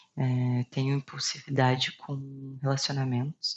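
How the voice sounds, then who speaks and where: Somewhat breathy, this woman's voice sits very deep and low in pitch. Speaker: video blogger sharing personal health story. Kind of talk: personal testimony to camera. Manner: hesitant with filler pauses.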